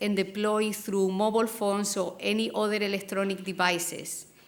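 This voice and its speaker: With a Spanish accent, a woman speaks at a fairly high pitch. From Spain. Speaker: academic program co-founder. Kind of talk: conference presentation. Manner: slow.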